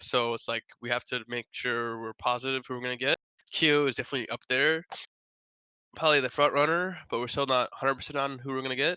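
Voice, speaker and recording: Mumbling at a very fast pace, a man with an American accent keeps a fairly even intonation in a bright, sharp tone. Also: medium pitch for a man, dry, close sound with no echo. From US Midwest (Wisconsin). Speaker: pro esports player. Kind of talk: interview.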